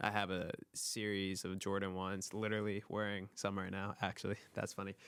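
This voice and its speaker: Speaking at a moderate pace, a man uses a fairly low voice. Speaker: photographer and filmmaker. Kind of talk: casual chat. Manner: monotone; reserved.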